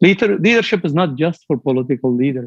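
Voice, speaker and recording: A man with a fairly high pitch speaks at a moderate pace with lively intonation, in a dry, close sound with no echo. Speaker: business executive. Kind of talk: motivational speech.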